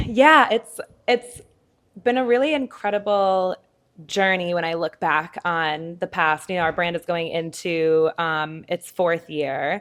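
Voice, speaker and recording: In a Midwestern accent, a woman talks at a fairly slow pace and a fairly low pitch, with ordinary pitch variation. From Minnesota, US Midwest. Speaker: fashion designer. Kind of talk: interview.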